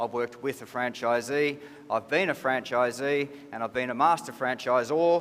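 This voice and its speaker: A man speaks with an Australian accent at a medium pitch. His pace is moderate and his intonation fairly even. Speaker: business executive. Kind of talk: conference presentation. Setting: stage with audience.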